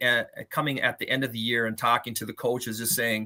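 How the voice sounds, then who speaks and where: A man with an American accent talks at a fairly quick pace in a bright, sharp tone, recorded very cleanly with a silent background. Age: 50s. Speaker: retired coach and gym teacher. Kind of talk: interview.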